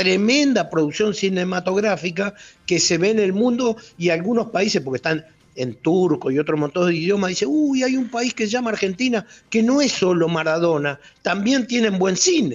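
A man's high-pitched voice with lively intonation, very even loudness and a moderate pace. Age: 60s. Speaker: former bank robber. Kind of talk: radio interview. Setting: phone call.

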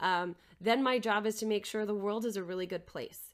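A woman speaks in a plain, everyday voice at a medium pitch, with fairly even intonation. The recording is very clean, with a silent background. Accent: American. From Minnesota, Twin Cities area. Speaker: nonprofit CEO and artist. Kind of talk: casual interview conversation.

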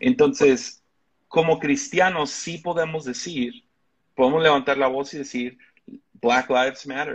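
Speaking with a Mexican accent, a man uses a fairly high pitch and a fairly slow pace. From Mexico. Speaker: pastor. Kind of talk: interview conversation.

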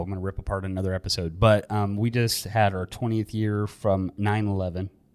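With an American accent, a man with a fairly low pitch talks at a fairly quick pace, hardly pausing at all. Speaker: podcast co-host, real estate agent. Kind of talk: casual chat. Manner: animated.

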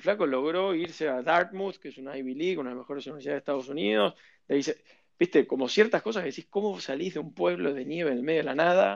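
A man with a Rioplatense accent speaks at a very fast pace in a fairly high pitch. His intonation is lively, and his loudness swings widely. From Argentina, Buenos Aires. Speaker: venture capital investor. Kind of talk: interview.

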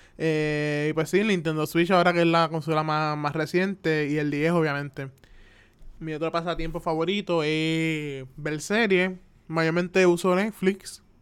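In a very clean recording with a silent background, a man talks at a fairly slow pace. His fairly high voice keeps a fairly even intonation. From Puerto Rico (Carolina). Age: 20s. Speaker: podcaster, animation student. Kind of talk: casual solo monologue. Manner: hesitant, many fillers.

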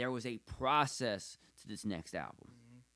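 With a plain, everyday voice, a man speaks at a moderate pace and with lively intonation, on a very clean recording with a silent background. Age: 30s. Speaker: podcast host. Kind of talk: casual chat.

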